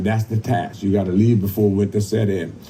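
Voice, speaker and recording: Here a man with an American accent talks at medium pitch. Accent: Gullah Geechee. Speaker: cultural heritage presenter. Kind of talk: live historical presentation to a crowd.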